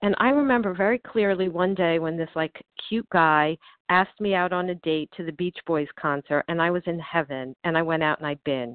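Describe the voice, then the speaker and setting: This woman has an unremarkable speaking voice, fairly low in pitch. She speaks at a fairly quick pace with ordinary pitch variation. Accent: American. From US Northeast. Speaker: twelve-step group member. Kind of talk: testimony. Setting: phone call.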